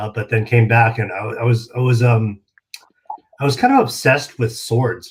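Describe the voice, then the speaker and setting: A man talks at a fairly slow pace with an American accent. His intonation stays fairly even, and his voice is somewhat breathy. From California. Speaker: martial arts magazine publisher. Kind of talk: interview.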